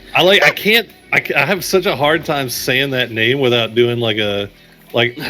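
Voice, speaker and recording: Against noticeable background noise, a man with a Texan accent talks at a moderate pace with medium pitch and lively intonation. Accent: Texan American English. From Texas. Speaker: esports caster. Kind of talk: live commentary.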